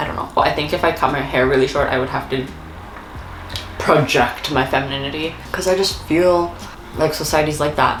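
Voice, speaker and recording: A woman speaks fairly quickly in a very deep, low voice with ordinary pitch variation, pausing long and often. The room echo is audible, and music plays in the background. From South Korea. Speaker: lifestyle YouTuber. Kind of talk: casual Q&A chat. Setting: eating snacks while talking. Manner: fast.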